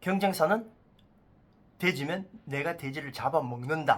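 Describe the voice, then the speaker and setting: The speaker has a non-native accent and an animated tone. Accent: non-native Korean, speaks Korean poorly. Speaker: fortune teller. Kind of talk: casual explainer monologue. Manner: halting, self-correcting.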